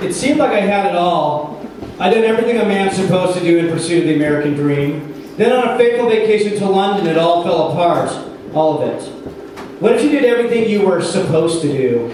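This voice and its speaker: Against noticeable background noise, a man speaks very fast at a high pitch with lively intonation. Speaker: drag performer and comedian. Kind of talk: live storytelling monologue.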